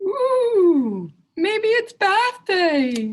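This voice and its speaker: A woman squeaks through a put-on character voice pitched extremely high. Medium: read story.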